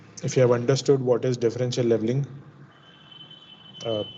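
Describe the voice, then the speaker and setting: A man's delivery stays monotone and flat as noticeable background noise runs beneath it. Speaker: lecturer. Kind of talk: lecture.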